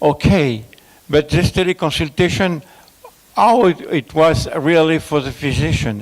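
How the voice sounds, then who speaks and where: With a French accent, the speaker moves at a fairly slow pace with ordinary pitch variation over noticeable background noise. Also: man, fairly high pitch for a man. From France. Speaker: conference speaker on telemedicine. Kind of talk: conference presentation. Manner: halting, many fillers.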